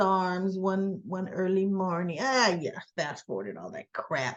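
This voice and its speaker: A woman speaks with an animated tone at a medium pitch and a moderate pace. The background is quiet. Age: 60s. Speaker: soap opera recap youtuber. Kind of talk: casual recap monologue.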